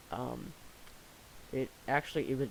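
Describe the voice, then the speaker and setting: A man's medium-pitched voice at a fairly slow pace. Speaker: gaming video creator. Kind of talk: gameplay commentary. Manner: halting, many fillers; quiet.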